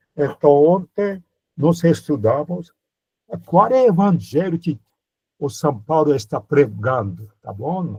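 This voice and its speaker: A somewhat breathy man with a fairly high, dark and mellow voice speaks very slowly, his pitch swinging very widely between long, frequent pauses. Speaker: priest teaching a Bible course. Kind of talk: lecture. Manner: animated.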